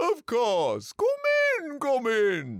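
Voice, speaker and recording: In a put-on character voice, someone talks at a fairly high pitch. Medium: read story.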